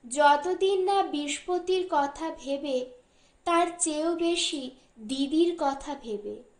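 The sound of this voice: A woman speaks slowly in a high, slightly mellow voice with ordinary pitch variation. Audible room echo surrounds her.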